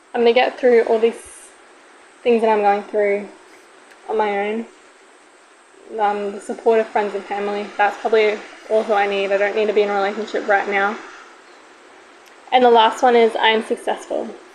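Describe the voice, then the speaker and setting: The speech has monotone, flat intonation and long, frequent pauses at a moderate pace. Noticeable background noise runs underneath. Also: woman, fairly high pitch for a woman. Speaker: solo podcaster. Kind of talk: casual podcast monologue. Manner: loud.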